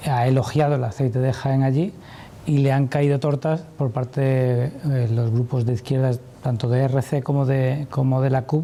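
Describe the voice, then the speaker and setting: A man's medium-pitched voice with fairly even intonation over noticeable background noise. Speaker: journalist. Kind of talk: TV interview question.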